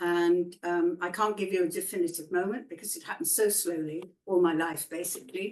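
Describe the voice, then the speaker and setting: This woman has a fairly low pitch and fairly even intonation. Her loudness swings widely at a fairly quick pace. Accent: English. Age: 70s. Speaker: blind charity fundraiser. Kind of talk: webinar conversation.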